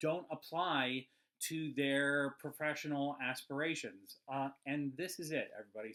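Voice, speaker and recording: A man with a Midwestern accent and a fairly high pitch. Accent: Midwestern twang. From US Midwest. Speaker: animator and cartoon channel host. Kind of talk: casual vlog advice talk. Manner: halting, many fillers.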